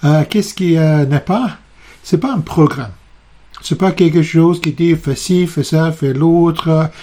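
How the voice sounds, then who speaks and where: This man's voice is fairly high and has a dark, mellow tone. He talks very slowly, with ordinary pitch variation. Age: 60s. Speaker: psychotherapist. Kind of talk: video presentation. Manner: halting, many hesitations.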